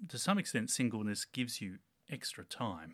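A bright, sharp voice with an Australian accent and lively intonation comes through on a very clean recording with a silent background. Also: man. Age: 30s. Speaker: town planner and church tech team leader. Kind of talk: casual interview. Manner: halting, many fillers.

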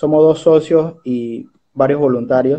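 In a monotone with flat intonation, a man speaks at a very slow pace. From Panama, Chiriquí. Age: 20s. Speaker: social entrepreneur and bank advisor. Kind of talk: interview.

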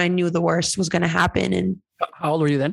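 A woman with an American accent. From California, Mexican American. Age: 30s. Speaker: soccer player and podcast co-host. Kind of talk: casual interview conversation. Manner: hesitant, many fillers.

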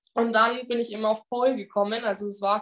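A woman with high pitch. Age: 20s. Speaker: pole dance instructor. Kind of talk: casual interview conversation.

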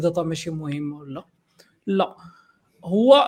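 Lively intonation marks this man's speech in a very clean recording with a silent background. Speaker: software developer. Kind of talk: casual panel discussion.

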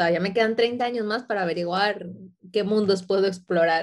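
Using an ordinary speaking voice, a woman talks at a fairly slow pace and medium pitch with lively intonation. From Ecuador, moved to Spain at 12. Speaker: photographer and designer. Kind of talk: interview.

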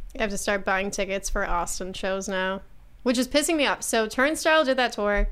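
A woman with an American accent talks at a fairly quick pace in an unremarkable speaking voice, with fairly high pitch and lively intonation. The recording is very clean, with a silent background. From Buffalo, New York. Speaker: stand-up comedian. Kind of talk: casual chat. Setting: studio.

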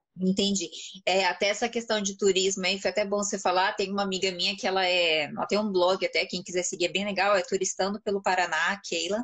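Speaking at a very fast pace, a woman keeps a medium pitch and a monotone, flat intonation. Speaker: live stream host and Portuguese teacher. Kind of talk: casual live stream interview.

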